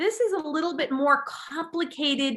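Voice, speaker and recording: In a very clean recording with a silent background, a woman speaks at a fairly slow pace in a raised, projected voice with a bright, sharp tone. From England. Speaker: podcast host. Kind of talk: casual interview chat.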